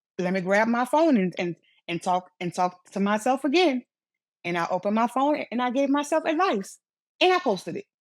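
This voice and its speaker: A woman with a Louisiana accent talks at a fairly high pitch, her voice making very wide pitch swings. The recording is very clean with a silent background and a dry, close sound with no echo. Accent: Louisiana Southern US. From Louisiana, Lafayette. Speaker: motivational speaker. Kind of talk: interview. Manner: repetitions and blocks.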